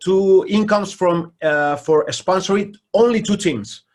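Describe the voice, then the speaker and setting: A man talks fairly slowly in a very clean recording with a silent background. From Spain. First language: Spanish. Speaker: basketball coach. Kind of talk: interview. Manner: halting.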